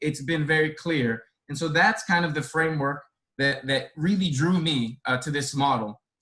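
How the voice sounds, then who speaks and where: A man with a Spanish accent, fairly high-pitched, bright and sharp in tone, at a moderate pace. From born in Dominican Republic, grew up in inner-city Boston. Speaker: care resource coordinator. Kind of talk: panel talk.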